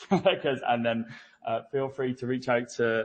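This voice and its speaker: A man speaks at a moderate pace with a British accent, his pitch sitting in the middle range. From UK. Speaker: business development engineer. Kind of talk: conference presentation. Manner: hesitant, many fillers.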